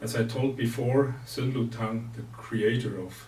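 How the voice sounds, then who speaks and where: The speaker has a non-native accent and a monotone, flat intonation. The pace is fairly slow, and audible room echo surrounds the voice. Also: man. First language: not English. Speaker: martial arts teacher. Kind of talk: lecture. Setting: recorded seminar. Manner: halting.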